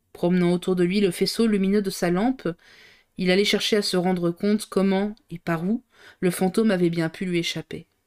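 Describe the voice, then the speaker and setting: A woman's monotone, flat intonation in a dry, close sound with no echo. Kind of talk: audiobook reading aloud of a novel, live on stream. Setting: live stream. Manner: reads at a steady pace, stumbling and re-reading a few phrases.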